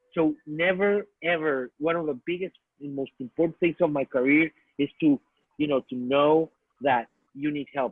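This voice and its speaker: A man with a Spanish accent and fairly even intonation. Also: fairly high pitch for a man, moderate pace. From Mexico. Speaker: artist and filmmaker. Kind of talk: talk to students. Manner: halting, with many restarts.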